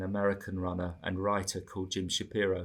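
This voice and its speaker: A man's fairly low voice with an English accent, on a very clean recording with a silent background. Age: 60s. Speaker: marathon runner. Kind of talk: interview.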